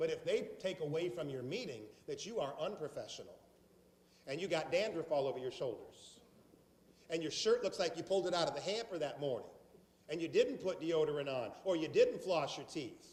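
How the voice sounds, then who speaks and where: With a Southern US accent and a high pitch, a man speaks in an animated tone at a fairly quick pace, his intonation lively. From South Carolina. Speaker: sales trainer. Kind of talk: training seminar.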